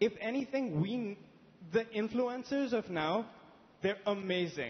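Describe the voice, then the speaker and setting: Speaking at a fairly slow pace, a man talks in a high pitch. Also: ordinary pitch variation. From India. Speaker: audience member at a panel discussion. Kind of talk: public discussion contribution. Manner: halting.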